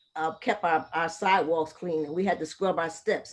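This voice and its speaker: At a very fast pace, a woman with an American accent speaks at a fairly low pitch. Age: 60s. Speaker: community member. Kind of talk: casual chat.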